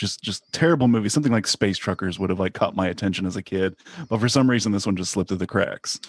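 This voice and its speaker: A man's voice with a dry, close sound, no echo and a quiet background. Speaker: author guest. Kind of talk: casual chat.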